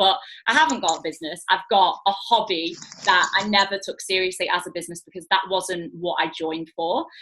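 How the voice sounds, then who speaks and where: Here is a woman in a Mancunian accent. Her pitch sits in the medium range. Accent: Mancunian, noticeable. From northern England, Manchester. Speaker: network marketing business owner. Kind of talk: online training talk. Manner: casual, many fillers.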